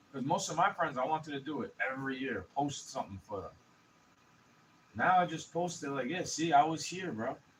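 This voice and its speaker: Mumbling with lively intonation, the speaker has an American accent. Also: man, fairly high pitch for a man. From New York City. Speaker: vlogger. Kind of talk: casual rant. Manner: fast.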